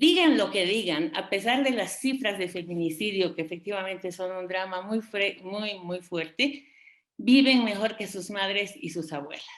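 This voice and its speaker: Speaking at a fairly slow pace, a woman uses lively intonation at medium pitch. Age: 60s. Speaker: feminist expert panelist. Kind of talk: panel debate talk. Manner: hesitant, many fillers.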